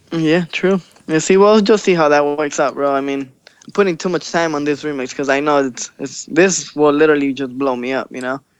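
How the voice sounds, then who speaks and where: Speaking at a fairly quick pace in an American accent, a man has a fairly high pitch, ordinary pitch variation and an unremarkable speaking voice. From Los Angeles, raised from about age six. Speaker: DJ and electronic music producer. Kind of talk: casual interview. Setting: Skype call.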